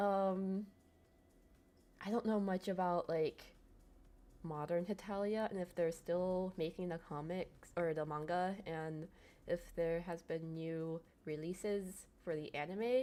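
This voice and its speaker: At a very slow pace, a woman with a fairly low pitch speaks in fairly even intonation, leaving long, frequent pauses. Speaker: streamer reviewing fan merchandise. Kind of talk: live stream casual review. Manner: halting, self-admitted stuttering.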